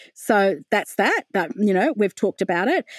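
A woman speaks in an Australian accent at a medium pitch with ordinary pitch variation. The recording is very clean, with a silent background. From Australia, Wollongong. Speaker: novelist. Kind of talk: interview. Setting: home office.

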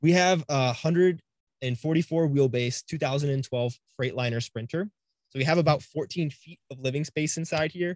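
A man's fairly high-pitched, unremarkable speaking voice with an American accent, big swings in loudness, ordinary pitch variation and a fairly slow pace, in dry, close sound with no echo. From Cleveland, Ohio. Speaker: online reseller and YouTuber. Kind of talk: casual interview.

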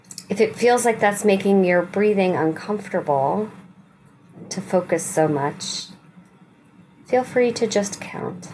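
At a fairly slow pace, a woman with a warm tone and medium pitch speaks with ordinary pitch variation and long, frequent pauses over noticeable background noise. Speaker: rabbi leading weekly meditation. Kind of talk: guided meditation with gentle spiritual teaching. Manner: slow, soothing, softly inviting instructions; warm, reassuring and non-judgmental.

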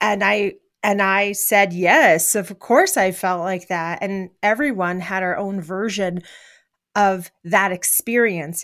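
A woman with an American accent talks at a very slow pace, at a medium pitch with fairly even intonation. The recording is very clean, with a silent background. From New York (Bronx, then upstate). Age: 50s. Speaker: filmmaker and speaker. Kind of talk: interview.

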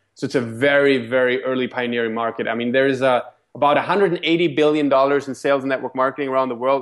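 Over a quiet background, a man with a German accent speaks at a medium pitch. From Germany. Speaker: network marketing leader. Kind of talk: interview. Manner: halting.

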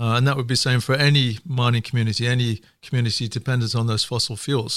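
A man with a northern English accent speaks at a very fast pace, his pitch medium and his intonation fairly even. The recording is very clean, with a silent background. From northern England. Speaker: economist. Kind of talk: casual chat.

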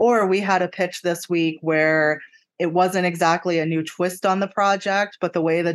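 A plain, everyday voice with an American accent moves at a moderate pace with ordinary pitch variation against a quiet background. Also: woman. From western Pennsylvania. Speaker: newspaper real estate editor. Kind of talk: interview.

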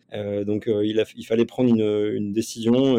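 At a moderate pace, a man speaks with a medium pitch, a dark, mellow tone and monotone, flat intonation. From France, Nantes. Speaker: company co-founder, former elite athlete. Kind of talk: interview. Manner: hesitant, many fillers.

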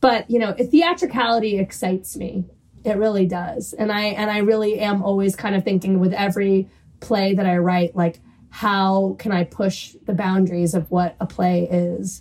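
Somewhat breathy, a woman with an American accent speaks at a medium pitch. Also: moderate pace. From US South, New Orleans. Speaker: playwright. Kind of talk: interview. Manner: animated.

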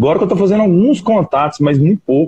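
A man speaks with ordinary pitch variation and a somewhat breathy quality. The sound is dry and close, with no echo. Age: 20s. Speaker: small business owner. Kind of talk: casual chat.

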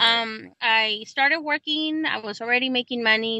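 A woman in a Spanish accent talks with a fairly high pitch. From Mexico, Guanajuato. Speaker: immigrant rights activist. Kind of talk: interview.

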